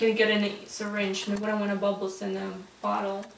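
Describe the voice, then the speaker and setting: A woman with a non-native accent speaks at a moderate pace. There is noticeable background noise. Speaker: nursing student. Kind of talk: role-play patient teaching.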